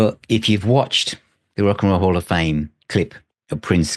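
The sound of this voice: At a moderate pace, a man talks with a slight Birmingham accent.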